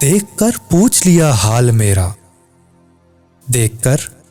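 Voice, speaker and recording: A man's pitch rises and falls very widely while music plays underneath. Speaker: poetry reciter. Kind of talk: poetry reading.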